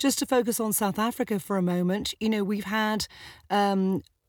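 A woman speaks in an ordinary speaking voice, medium in pitch with ordinary pitch variation. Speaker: podcast host. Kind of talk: casual chat. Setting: remote recording.

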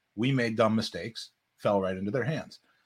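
On a very clean recording with a silent background, a man with an ordinary speaking voice and medium pitch speaks at a fairly quick pace. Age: 50s. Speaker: podcast host. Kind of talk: casual chat.

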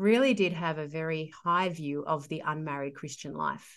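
A woman with an Australian accent, her voice fairly low-pitched, at a moderate pace with ordinary pitch variation over a quiet background. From Sydney, Australia. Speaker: theologian and author. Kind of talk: casual interview conversation.

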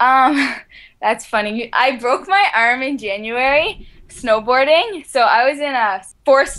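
Lively intonation colors this fairly slow delivery. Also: woman. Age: 20s. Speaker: ultramarathon runner. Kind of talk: interview.

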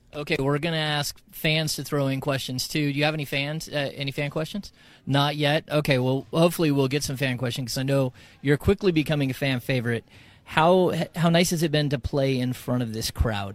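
An ordinary speaking voice from a man, fairly high in pitch, at a fairly quick pace with fairly even intonation, on a very clean recording with a silent background. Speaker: co-interviewer. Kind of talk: interview.

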